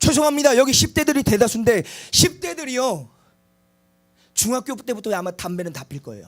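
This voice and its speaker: This man talks at an extremely high pitch and a fairly quick pace, with very wide pitch swings. His loudness shifts a lot, and he leaves long, frequent pauses. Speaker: preacher. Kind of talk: sermon.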